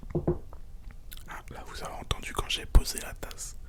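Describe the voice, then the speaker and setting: Over noticeable background noise, a man whispers in a relaxed tone. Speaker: ASMR creator. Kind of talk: casual talk to camera. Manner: soft-spoken, relaxed.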